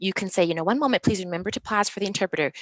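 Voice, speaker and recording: In a bright, sharp tone, a woman with an American accent speaks with a dry, close sound and no echo. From Minnesota, Minneapolis-St Paul. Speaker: interpreter and trainer. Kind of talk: interview. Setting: video call. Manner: fast.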